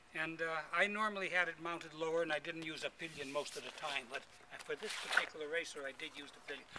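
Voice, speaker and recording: A man's fairly high voice at a very fast pace, fairly even in intonation, with big swings in loudness and noticeable background noise. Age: 80s+. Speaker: vintage motorcycle racer. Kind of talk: interview answer.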